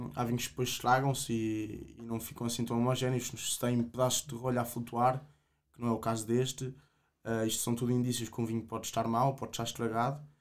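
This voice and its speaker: Flat, monotone intonation runs through the man's fairly quick speech. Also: quiet background. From Portugal, Coimbra; Portugal. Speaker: agronomy student, wine association president; podcast guest. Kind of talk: casual interview; interview answer. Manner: halting, many repetitions. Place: studio. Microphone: studio mic.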